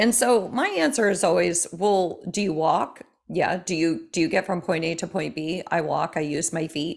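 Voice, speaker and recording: Music plays in the background as a woman with a fairly low pitch speaks. Her intonation is lively and her pace moderate. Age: 50s. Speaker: mental health therapist and fitness coach. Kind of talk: interview.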